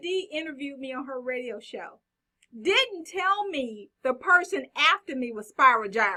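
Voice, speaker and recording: A woman with a Texas accent, high-pitched and bright and sharp in tone, her raised, projected voice at a moderate pace with very wide pitch swings and big swings in loudness. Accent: Texas twang. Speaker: guest praising a radio host.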